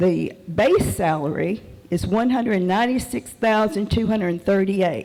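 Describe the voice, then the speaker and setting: A woman's medium-pitched voice at a fairly slow pace, with lively intonation. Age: 70s. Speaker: public commenter. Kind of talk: public comment. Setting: public meeting hall.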